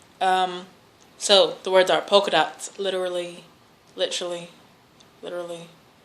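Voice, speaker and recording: A woman's medium-pitched voice in an American accent, monotone and flat, at a moderate pace with long, frequent pauses, big swings in loudness and audible room echo. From Louisville, Kentucky, US. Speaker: vlogger. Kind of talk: accent challenge word list and casual talk; reading a word list.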